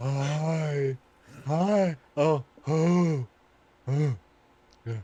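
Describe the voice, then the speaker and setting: Putting on a character voice, a man sounds strained at a fairly high pitch with ordinary pitch variation. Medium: actual play.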